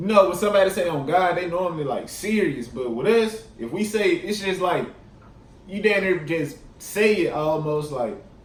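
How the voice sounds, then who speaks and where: A man speaks at a high pitch in a Mississippi Delta accent, with lively intonation at a moderate pace. Audible room echo and noticeable background noise are present. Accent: Mississippi Delta Southern. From Mississippi Delta (Tunica). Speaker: YouTuber. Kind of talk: casual vlog. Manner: casual, many fillers.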